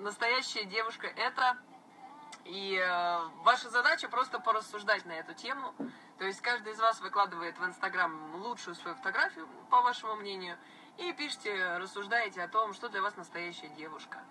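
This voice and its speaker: Light background noise sits behind a woman talking at a moderate pace. Her loudness rises and falls widely. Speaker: blogger. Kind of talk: casual live stream chat answering viewers. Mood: relaxed, friendly. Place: car. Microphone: phone near.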